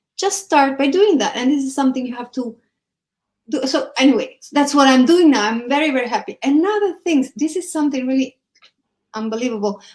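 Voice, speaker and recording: Speaking at a fairly quick pace, a woman with an Italian accent has a high pitch and lively intonation. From Italy, Naples. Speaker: entrepreneur and English teacher. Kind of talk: casual conversation.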